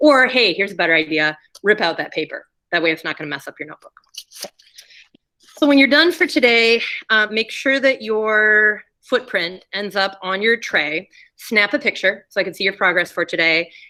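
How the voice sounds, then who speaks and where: The woman's voice has a medium pitch and a bright, sharp tone. Her pitch swings very widely, and her loudness swings a lot too. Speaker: ceramics teacher. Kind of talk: classroom demonstration. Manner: fast.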